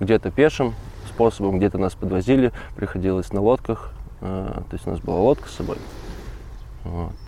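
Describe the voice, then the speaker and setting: A man's very deep, low voice with lively intonation and long, frequent pauses. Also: moderate pace. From Russian Far East, Magadan region. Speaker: volunteer ornithology field assistant. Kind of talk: casual interview. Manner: hesitant, many fillers.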